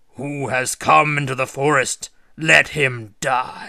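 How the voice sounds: A man puts on a raspy, bellowing character voice at a medium pitch, speaking at a fairly slow pace over a quiet background.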